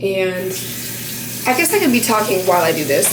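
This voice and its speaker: Loud and at a very fast pace, a woman with an American accent speaks at a medium pitch amid noticeable background noise and audible room echo. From Montana. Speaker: beauty vlogger. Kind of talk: tutorial. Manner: casual, filler-heavy.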